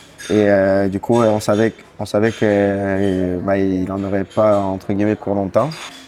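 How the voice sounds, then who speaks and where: Here a man talks fairly slowly. His fairly low voice stays in a flat monotone. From Corsica (Bastia). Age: 30s. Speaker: singer-songwriter. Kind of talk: interview. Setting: café. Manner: hesitant, many fillers.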